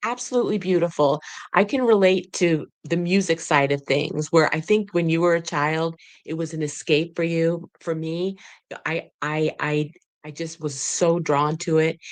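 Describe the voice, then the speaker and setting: Female speech at a moderate pace, fairly low-pitched, an unremarkable speaking voice. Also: ordinary pitch variation. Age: 60s. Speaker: podcast host. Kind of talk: interview.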